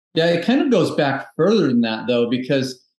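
At a moderate pace, a man speaks over a quiet background with audible room echo. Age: 40s. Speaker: health coach, entrepreneur. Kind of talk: podcast interview. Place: home room. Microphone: video call.

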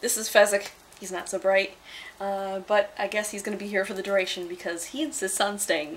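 A woman with an American accent at medium pitch, fairly quick, with ordinary pitch variation and big swings in loudness. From Upstate New York, United States. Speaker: artist. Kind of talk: casual talk to camera, accent tag. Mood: playful, joking. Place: home room. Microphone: webcam.

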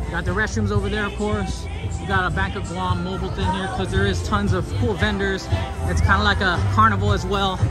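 Over clear music in the background, a man speaks at a moderate pace in a dry sound with no echo. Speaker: vlogger giving a live walking tour. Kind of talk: casual vlog chat. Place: waterside. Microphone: phone near.

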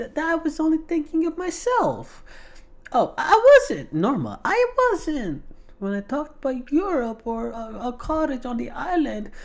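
This is a man doing a put-on character voice. The pitch is extremely high. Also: moderate pace. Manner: defensive, pleading.

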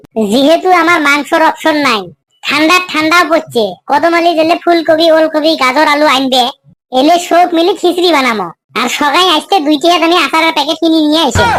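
In a cartoonish character voice, a woman speaks at a moderate pace with extremely high pitch and very even loudness. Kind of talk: comic village banter. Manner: coarse, swearing, joking.

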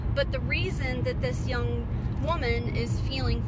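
Loud background noise surrounds a woman who speaks at a fairly slow pace, with a dry sound and no echo. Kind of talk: casual vlog chat. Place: car. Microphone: phone near.

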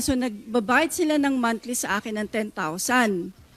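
Lively in intonation, a woman speaks at a fairly slow pace. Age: 60s. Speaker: retired police officer. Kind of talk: testimony. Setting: studio.

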